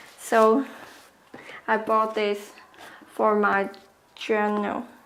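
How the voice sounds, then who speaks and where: Amid audible room echo, a woman with a fairly high pitch speaks at a very slow pace in a monotone, flat intonation. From southern China. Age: 20s. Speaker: university student. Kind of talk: casual chat and self-introduction.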